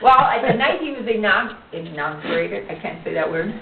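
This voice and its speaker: A woman with an American accent speaks at a moderate pace with very wide pitch swings. There is noticeable background noise behind her. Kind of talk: casual family storytelling.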